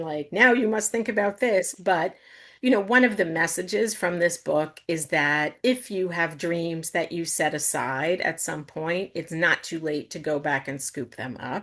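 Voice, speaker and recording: In an American accent, a woman uses a normal speaking voice at a fairly low pitch, with ordinary pitch variation, a moderate pace and a quiet background. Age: 60s. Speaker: novelist. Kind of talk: book talk Q&A.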